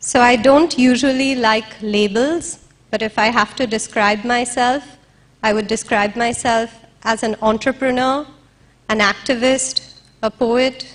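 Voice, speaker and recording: With noticeable background noise behind her, a woman speaks in a shaky voice at a fairly slow pace, her fairly high pitch held in fairly even intonation. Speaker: interviewer and activist. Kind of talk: stage speech. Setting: stage with audience.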